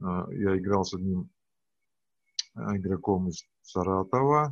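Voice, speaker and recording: A man's voice, very deep and low, moves with ordinary pitch variation. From Siberia, Russia. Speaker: business trainer and tournament judge. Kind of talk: interview. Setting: video call.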